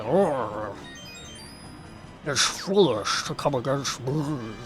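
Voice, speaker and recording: Putting on a character voice, a man at medium pitch speaks very slowly with lively intonation while clear music plays in the background. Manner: mumbly, as if mouth full.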